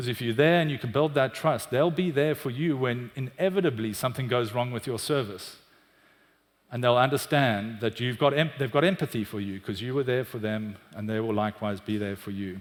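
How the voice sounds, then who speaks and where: The pitch moves in an ordinary way. The pace is fairly quick. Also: man, medium pitch for a man. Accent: South African. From South Africa, Cape Town. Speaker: business executive. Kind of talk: conference talk. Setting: stage with audience.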